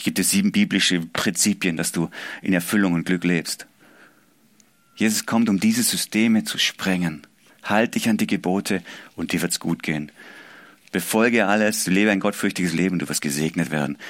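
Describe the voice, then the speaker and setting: His voice is very deep and low, with ordinary pitch variation, at a moderate pace broken by long, frequent pauses. The man is heard in a very clean recording with a silent background. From Swabia, southwest Germany. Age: 40s. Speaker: pastor. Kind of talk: sermon. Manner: animated.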